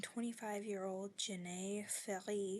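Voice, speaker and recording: A woman speaks quietly at a medium pitch with fairly even intonation. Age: 20s. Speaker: video journaler. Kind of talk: video diary. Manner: halting.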